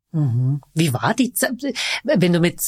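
Somewhat breathy and fairly low-pitched, a woman's voice comes across dry and close with no echo. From Vienna. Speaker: podcast host. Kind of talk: casual interview.

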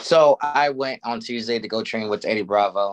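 A man's voice, a plain, everyday voice, fairly low in pitch, with ordinary pitch variation and a moderate pace. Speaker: podcast host and former fighter. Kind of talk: casual sports podcast chat.

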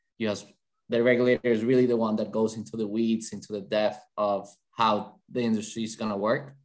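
Speaking with a Colombian accent, a man keeps a monotone, flat intonation at medium pitch and a fairly quick pace. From Colombia, Bogota. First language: Spanish. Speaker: sports betting lawyer. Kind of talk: interview.

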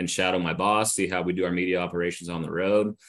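Very deep and low, a man's voice carries an American accent. He talks at a very fast pace with fairly even intonation. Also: quiet background. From Northern California. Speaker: sports media relations director. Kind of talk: interview.

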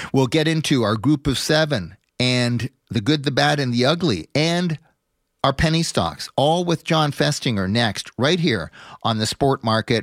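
In an ordinary speaking voice with a Canadian accent, the speaker goes at a fairly slow pace with lively intonation and very even loudness. The recording is very clean with a silent background, dry and close with no echo. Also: man. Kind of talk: sports business commentary, talk radio monologue. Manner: fluent, polished, long-winded radio delivery.

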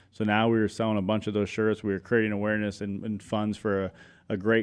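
A man's fairly low voice at a very fast pace, in a General American accent. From Arizona, Chandler. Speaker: clothing brand founder. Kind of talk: casual interview.

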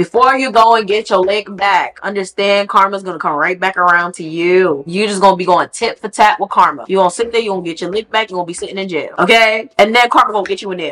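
At a very fast pace, a woman with an animated tone speaks at a medium pitch with ordinary pitch variation. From Haitian heritage. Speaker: podcast host. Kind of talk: casual commentary.

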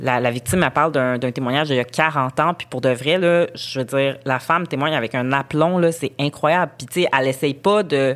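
With hardly any pauses, a woman speaks at a very deep, low pitch and ordinary pitch variation. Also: moderate pace. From Montreal, Quebec. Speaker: journalist. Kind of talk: casual interview conversation.

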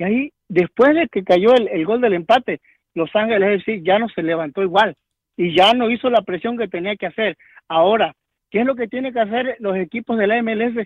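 The man's pace is moderate. His pitch is high, with ordinary variation. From Mexico. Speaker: caller, football fan. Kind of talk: call-in football discussion.

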